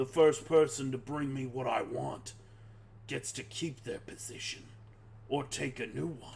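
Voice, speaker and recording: Over clear background noise, a man uses a raspy, put-on character voice at a medium pitch and a moderate pace. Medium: actual play. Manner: commanding, cold.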